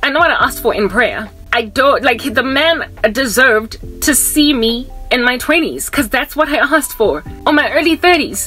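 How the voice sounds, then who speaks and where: A woman's raised, projected voice at a moderate pace, faint music in the background. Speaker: vlogger. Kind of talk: casual vlog chat. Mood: animated, exasperated storytelling. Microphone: phone near.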